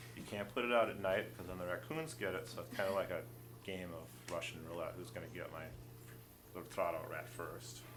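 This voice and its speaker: Against noticeable background noise and audible room echo, a man with a fairly low pitch speaks at a fairly quick pace, his pitch swinging very widely. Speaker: wildlife rehabilitator. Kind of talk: tutorial.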